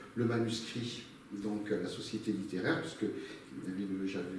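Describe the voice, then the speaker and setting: With a southwestern French accent, a man speaks at a fairly slow pace in a fairly low pitch and ordinary pitch variation. Noticeable background noise and audible room echo are present. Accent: southwest French. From southwest France. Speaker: novelist and postal worker. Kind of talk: interview. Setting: studio. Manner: hesitant, many fillers.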